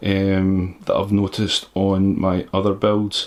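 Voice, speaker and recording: In a Scottish accent, a man speaks at a fairly low pitch. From Scotland. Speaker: PC builder youtuber. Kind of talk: tutorial. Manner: halting.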